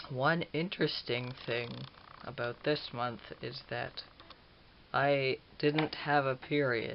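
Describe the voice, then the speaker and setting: A man with a medium-pitched voice speaks very slowly, his intonation fairly even. Long pauses come often, and background noise is noticeable. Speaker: vlogger. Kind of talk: personal video diary. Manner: casual, hesitant.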